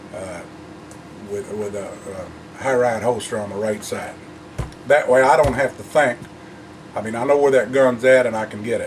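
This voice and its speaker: Amid noticeable background noise and audible room echo, a man of medium pitch talks at a moderate pace, with ordinary pitch variation, big swings in loudness, and long, frequent pauses. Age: 60s. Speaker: gun owner vlogger. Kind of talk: casual talk to camera. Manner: halting, many fillers.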